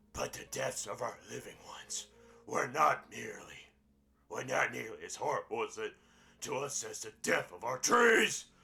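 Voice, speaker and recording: A man does a raspy put-on character voice at a moderate pace. Music plays in the background. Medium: game stream. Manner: grave, measured.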